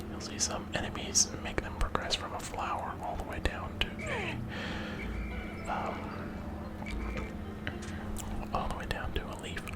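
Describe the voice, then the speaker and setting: A man whispers at a very slow pace, with noticeable background noise behind him. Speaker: ASMR creator and gamer. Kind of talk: casual talk to camera, gaming commentary. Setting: studio, close microphone. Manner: whispered, soft-spoken.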